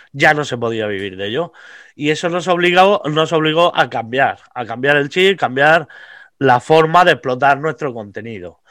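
A man talks at a moderate pace, his fairly high pitch rising and falling with lively intonation. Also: very clean recording, silent background. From Vega Baja, Alicante, Spain. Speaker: comedian. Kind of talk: casual chat.

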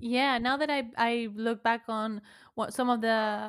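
A woman speaks with a high pitch. Her intonation is monotone and flat. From Argentina. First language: Spanish. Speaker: podcaster. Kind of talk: casual chat. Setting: video call.

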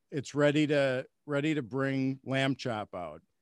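Recorded very cleanly with a silent background and a dry, close sound with no echo, a man with a fairly high pitch talks at a fairly slow pace in an ordinary speaking voice. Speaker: podcast host. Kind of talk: casual interview.

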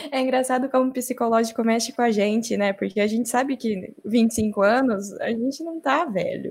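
At a moderate pace, a woman talks in a high pitch. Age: 20s. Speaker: advertising professional. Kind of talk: casual chat.

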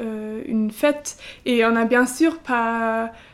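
Speaking very slowly in a German accent, a woman has a fairly high pitch. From eastern Germany. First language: German (speaking French). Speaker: civic service volunteer at a school. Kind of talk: interview. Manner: halting, hesitant with many fillers.

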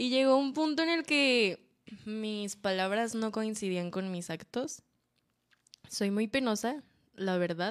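A woman with a Mexican accent, fairly high in pitch, lively in intonation, very slow, with long, frequent pauses. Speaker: podcast co-host. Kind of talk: casual chat. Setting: live stream.

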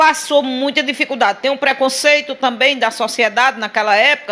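Over noticeable background noise, a woman raises and projects her high voice, moving at a moderate pace with ordinary pitch variation. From Sousa, Paraíba, Brazilian Northeast. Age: 50s. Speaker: political activist. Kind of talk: interview.

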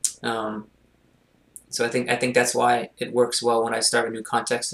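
This man speaks with a Montreal accent. His pitch is medium and his pace fairly quick. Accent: Canadian English, Montreal anglophone. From Montreal, Quebec. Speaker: mental performance consultant and coach. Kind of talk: casual interview.

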